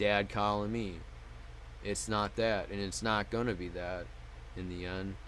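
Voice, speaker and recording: A fairly low-pitched man with fairly even intonation, long, frequent pauses and audible room echo. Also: fairly slow pace. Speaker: mental health vlogger. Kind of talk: personal vlog monologue. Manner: muttered; halting.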